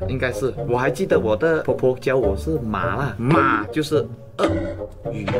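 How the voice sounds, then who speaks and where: A man talks fairly slowly while music plays clearly behind him. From Malaysia (Sarawak). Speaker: vlogger. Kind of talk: casual talk to camera. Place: home room.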